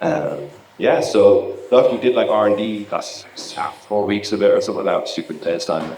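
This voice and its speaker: A man with an Irish accent speaks at a moderate pace, with audible room echo and noticeable background noise. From Ireland. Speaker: laser and visuals technician, conference speaker. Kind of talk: conference talk. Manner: casual, animated.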